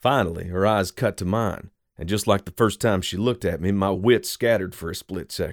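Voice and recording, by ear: The background stays quiet. Someone is reading aloud in a natural voice.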